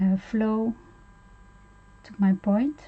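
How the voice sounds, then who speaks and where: A somewhat breathy woman speaks with a non-native accent and fairly even intonation. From Netherlands. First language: Dutch. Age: 50s. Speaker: art tutorial streamer. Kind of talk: tutorial. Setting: live stream. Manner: halting, many fillers.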